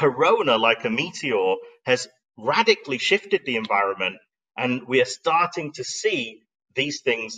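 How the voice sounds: At a fairly slow pace, a man with a medium pitch and a bright, sharp tone speaks with lively intonation and a slightly husky edge.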